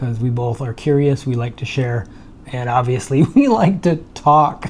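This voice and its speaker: Over noticeable background noise, a man speaks fairly slowly at a medium pitch with ordinary pitch variation. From Michigan, US. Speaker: retired tech worker and vlogger. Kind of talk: casual chat. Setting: home condo by the beach, on video.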